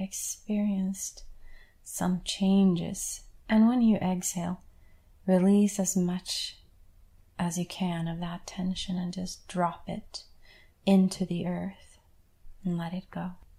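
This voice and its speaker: In a very clean recording with a silent background, a woman speaks very slowly at medium pitch in a calm, soothing tone that is dark, mellow and somewhat breathy. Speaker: guided meditation leader. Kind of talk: guided meditation. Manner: slow, calm, soothing, with long pauses; gentle, reassuring, instructive.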